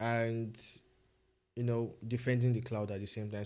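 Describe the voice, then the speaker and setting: A man with a Nigerian accent speaks at a moderate pace in a monotone, flat intonation on a very clean recording with a silent background. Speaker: cybersecurity learner streamer. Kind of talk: casual livestream chat. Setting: livestream. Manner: hesitant, many fillers and repetitions.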